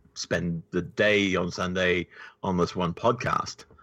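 Against a quiet background, a man with a New Zealand accent speaks fairly slowly in a bright, sharp tone. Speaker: podcast co-creator. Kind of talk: casual interview.

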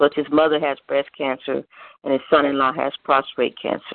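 A woman's very deep, low voice in monotone, flat intonation at a moderate pace. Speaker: prayer requester caller. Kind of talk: prayer request and prayer. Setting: phone prayer line.

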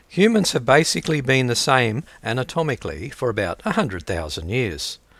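With an Australian accent and vocal fry, a man talks at a medium pitch and moderate pace, his pitch swinging very widely. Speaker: podcast host. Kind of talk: reading aloud.

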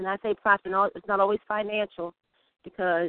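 A woman speaks in an unremarkable speaking voice with fairly even intonation. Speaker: caller. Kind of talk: casual chat. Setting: phone call.

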